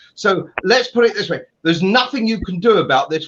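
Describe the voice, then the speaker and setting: At a very fast pace, a man with a high pitch speaks with lively intonation. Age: 70s. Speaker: political commentator. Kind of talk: panel discussion.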